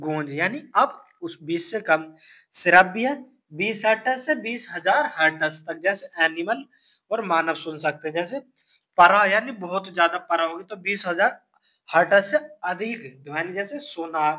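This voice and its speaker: Raised and projected, a man's high-pitched voice carries a bright, sharp tone and lively intonation. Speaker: exam-prep science teacher. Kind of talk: lecture.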